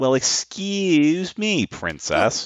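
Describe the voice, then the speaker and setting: A man puts on a character voice, pitched high. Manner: cartoonish, sarcastic.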